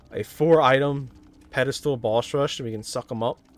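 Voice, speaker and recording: Here a man uses an ordinary speaking voice at a moderate pace. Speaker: gaming video creator. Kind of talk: gameplay commentary.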